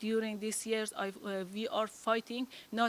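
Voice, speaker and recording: A woman with a non-native accent speaks fairly slowly in a monotone, flat intonation. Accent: foreign. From Afghanistan. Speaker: women's rights advocate and public official. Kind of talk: invited talk. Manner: halting, many fillers.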